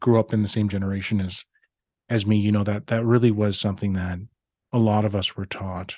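A man with an unremarkable speaking voice and a Canadian accent, fairly low in pitch, talking at a fairly quick pace with ordinary pitch variation, recorded dry and close with no echo over a quiet background. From Saskatchewan, Canada. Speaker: physician, medical association president. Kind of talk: interview.

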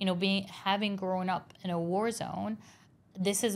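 A woman of medium pitch speaks in a flat monotone at a moderate pace. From Lebanon, Beirut. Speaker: artist. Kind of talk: interview conversation. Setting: live recording in Dubai.

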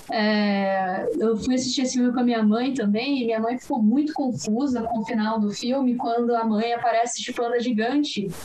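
With a high pitch and a moderate pace, a woman speaks amid noticeable background noise and audible room echo. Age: 20s. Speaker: animation film commentator. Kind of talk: casual chat.

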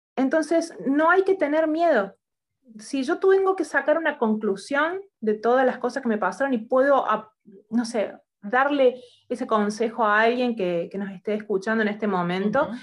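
High pitch from a woman, swinging very widely up and down. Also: moderate pace. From Argentina. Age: 40s. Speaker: writer and coach. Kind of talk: interview.

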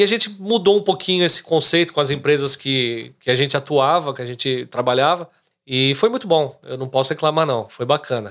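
A man speaks at a fairly quick pace in a normal speaking voice, fairly high in pitch with lively intonation. The recording is very clean, with a silent background. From Brazil, São Caetano, greater São Paulo. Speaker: real estate agent. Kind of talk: casual interview chat.

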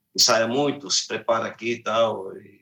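Using an ordinary speaking voice, a man talks at a moderate pace and a medium pitch. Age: 50s. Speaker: singer and musician. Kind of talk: interview.

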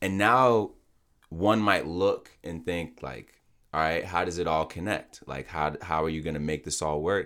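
Very deep and low in pitch, a man speaks at a fairly slow pace with ordinary pitch variation. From Nigerian background. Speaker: podcast host. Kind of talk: casual interview.

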